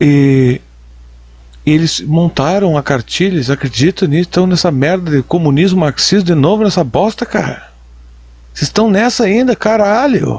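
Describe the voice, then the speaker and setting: A man speaks at a moderate pace with a high pitch and lively intonation. His loudness stays very even. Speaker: commentator reacting to videos. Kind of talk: reaction commentary. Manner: animated.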